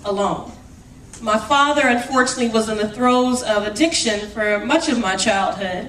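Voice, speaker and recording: In an American accent, a woman talks loudly and fairly quickly in a high pitch with ordinary pitch variation, with noticeable background noise and audible room echo. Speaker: city councilor. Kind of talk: award acceptance speech. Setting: stage with audience. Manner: passionate.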